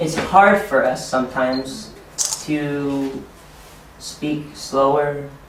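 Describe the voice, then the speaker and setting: A very slow voice with an American accent, amid noticeable background noise and audible room echo. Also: man. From United States. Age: 20s. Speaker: ESL teacher and trainer. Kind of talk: teacher training workshop.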